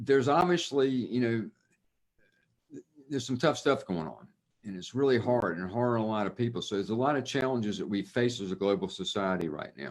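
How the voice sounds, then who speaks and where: With a Southern US accent, a man talks at a fairly quick pace, his medium-pitched voice carrying lively intonation. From US South. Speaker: institute co-founder. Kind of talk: video interview.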